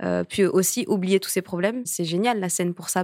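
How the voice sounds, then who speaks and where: Speaking at a moderate pace and medium pitch, a woman uses an ordinary speaking voice, recorded very cleanly with a silent background and a dry, close sound with no echo. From France. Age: 30s. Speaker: dancer and choreographer. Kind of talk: interview. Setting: studio.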